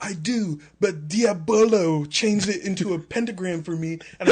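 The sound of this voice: With ordinary pitch variation, the clip carries an unforced reading voice.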